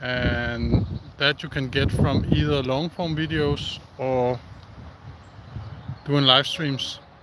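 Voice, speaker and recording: Amid noticeable background noise, a man with a Danish accent speaks at a very slow pace with long, frequent pauses, a medium pitch and fairly even intonation. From Denmark. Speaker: outdoor live streamer. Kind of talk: casual live stream chat. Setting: outdoors. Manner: halting.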